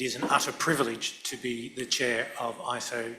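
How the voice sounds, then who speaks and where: Noticeable background noise runs beneath speech in a non-native accent. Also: man. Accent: non-European accent, noticeable. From Indo-Pacific. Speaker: lawyer and standards committee chair. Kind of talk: panel discussion. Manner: hesitant, many fillers and repetitions.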